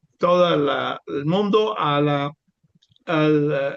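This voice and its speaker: A man talks with a non-native accent. His pitch is fairly high, with ordinary variation. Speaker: webinar moderator, professor. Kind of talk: panel moderation. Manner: halting, many fillers.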